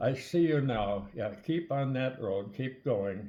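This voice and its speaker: A man's somewhat breathy voice at a very slow pace. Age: 90s. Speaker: army veteran. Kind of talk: storytelling. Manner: halting.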